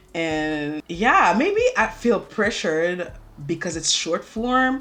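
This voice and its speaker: A woman speaks with a French accent. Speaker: beauty YouTuber. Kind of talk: makeup tutorial chit chat. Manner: halting.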